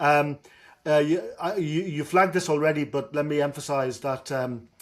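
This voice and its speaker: With a Dublin accent, a man speaks at a moderate pace and a fairly high pitch. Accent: Dublin Irish. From Ireland, Dublin. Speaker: professor. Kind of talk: lecture. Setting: video call.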